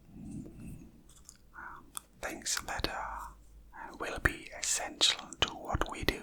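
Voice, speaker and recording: Someone whispers at a very slow pace against noticeable background noise. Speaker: maths teacher / educator. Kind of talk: educational math lesson, ASMR. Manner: whispered, soft-spoken, slow.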